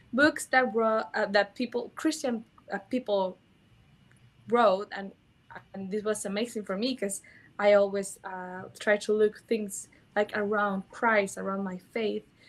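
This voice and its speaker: A woman's medium-pitched voice with a Mexican accent, fairly even intonation, big swings in loudness, a fairly slow pace, and long, frequent pauses. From Mexico. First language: Spanish. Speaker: sex educator. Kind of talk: interview. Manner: halting.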